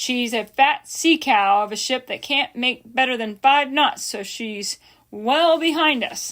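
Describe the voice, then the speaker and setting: A woman puts on a character voice, high in pitch and at a fairly slow pace. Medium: read story. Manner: pompous, irritable.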